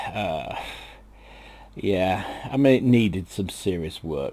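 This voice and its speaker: A man speaks with a British accent and a dark, mellow tone. His pitch swings very widely. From Britain. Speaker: gaming YouTuber. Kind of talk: casual gaming news commentary. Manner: hesitant, many fillers.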